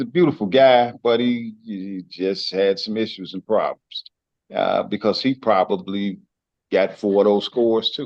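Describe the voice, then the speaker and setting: In a dry, close sound with no echo, a man with an American accent and a plain, everyday voice speaks at a moderate pace, his medium pitch showing ordinary variation. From US Midwest, Detroit east side. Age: 60s. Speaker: former juvenile lifer. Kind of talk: personal testimony.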